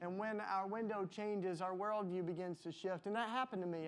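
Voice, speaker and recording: Talking with a Southern US accent, a man uses a high pitch and fairly even intonation. His pace is moderate. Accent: Southern US, noticeable. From US South, Tennessee. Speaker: panelist. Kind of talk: panel discussion.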